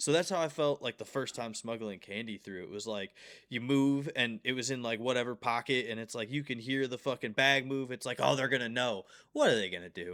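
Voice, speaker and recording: A man talks at a fairly quick pace. His medium-pitched voice has a bright, sharp tone. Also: ordinary pitch variation, very clean recording, silent background. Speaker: podcast co-host, professional talker. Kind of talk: casual chat.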